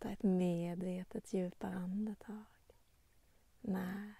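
A soft-spoken woman talks at a very slow pace in a dark, mellow, somewhat breathy tone that is calm and soothing. Her intonation is monotone and flat, and the sound is dry with no echo. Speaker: meditation guide and nature channel host. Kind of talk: guided meditation. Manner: slow, calm, soothing, with long pauses; gentle, warm, softly inviting. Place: waterside. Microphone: phone near.

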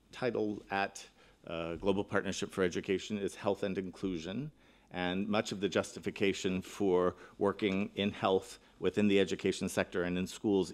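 A man speaks with very deep, low pitch and fairly even intonation. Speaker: keynote speaker. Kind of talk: conference keynote address. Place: hall. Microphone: podium.

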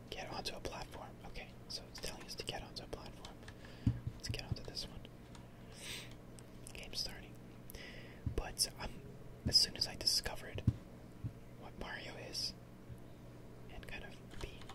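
At a moderate pace, the speaker pauses often and at length over loud background noise. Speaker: gaming ASMR creator. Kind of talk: casual gameplay commentary. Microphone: studio mic.

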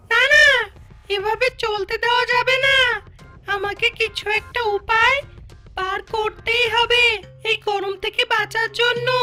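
A cartoonish character voice speaks at an extremely high pitch and a fairly slow pace. Clear music plays in the background. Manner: self-admiring, dramatic.

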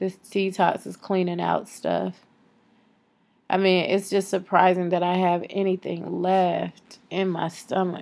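A woman speaks at a very slow pace in a monotone, flat intonation. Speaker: vlogger. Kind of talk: casual vlog chat. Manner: weak, drowsy sick voice. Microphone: phone near.

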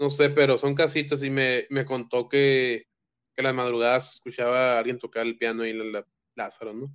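A man speaks at a moderate pace in a flat, monotone delivery. The background is quiet. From Mexico. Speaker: filmmaker; guest. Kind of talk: casual chat. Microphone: video call.

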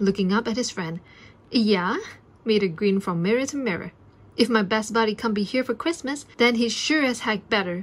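Pitch moves in an ordinary way as a natural voice reads aloud.

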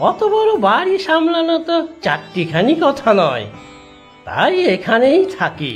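A cartoonish character voice with very wide pitch swings moves at a fairly slow pace over faint background music.

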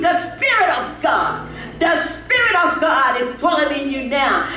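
Light background noise and audible room echo surround a woman talking at a fairly slow pace. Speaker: pastor. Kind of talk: sermon. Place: church.

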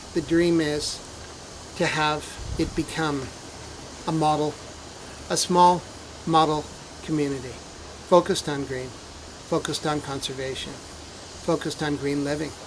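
Amid noticeable background noise, a man speaks at a fairly slow pace with long, frequent pauses. His voice is fairly high, and his intonation is monotone and flat. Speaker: school founder. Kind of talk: documentary interview.

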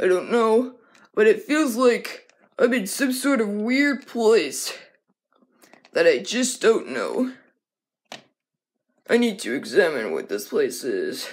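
Pitched fairly high, a cartoonish character voice moves at a fairly slow pace with long, frequent pauses. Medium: puppet.

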